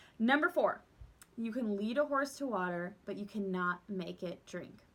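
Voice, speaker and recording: Loud and bubbly, a woman talks at a moderate pace in a fairly high, bright, sharp, animated voice with lively intonation. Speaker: direct sales team leader. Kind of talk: casual vlog tips talk. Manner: bubbly and loud.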